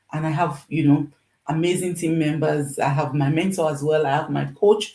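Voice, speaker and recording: Speaking at a moderate pace, a woman uses a very deep, low pitch with a dark, mellow, somewhat breathy tone and ordinary pitch variation. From Nigeria. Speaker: nurse and online business coach. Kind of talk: live stream sales pitch. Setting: livestream. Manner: emphatic, repetitive.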